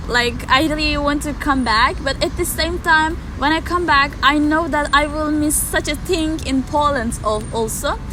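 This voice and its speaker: A woman projects a raised voice at a high pitch with ordinary variation, barely pausing at a moderate pace. Noticeable background noise and audible room echo surround her. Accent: Turkish. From Turkey. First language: Turkish. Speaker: exchange student. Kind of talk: interview. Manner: halting.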